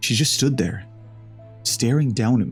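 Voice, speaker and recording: A man's voice, with ordinary pitch variation, is set against music in the background. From Ireland. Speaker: horror story narrator. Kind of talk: horror story reading.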